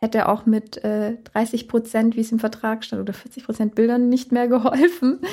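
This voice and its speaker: The speaker has a dark, mellow tone and fairly even intonation, with big swings in loudness, a moderate pace and hardly any pauses. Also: woman, fairly high pitch for a woman. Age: 30s. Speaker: wedding photographer. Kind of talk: interview.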